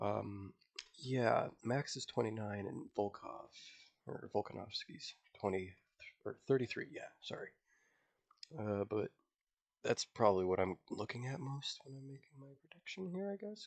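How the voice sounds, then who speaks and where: A quiet man at a fairly slow pace, with long, frequent pauses and big swings in loudness. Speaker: MMA fan YouTuber. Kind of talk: casual talk to camera. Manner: hesitant, many fillers.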